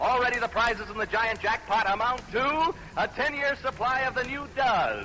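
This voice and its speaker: A man talks at a fairly quick pace in a raised, projected voice with ordinary pitch variation. Music plays in the background. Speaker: radio game show host. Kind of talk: live radio game show hosting. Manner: upbeat, fast.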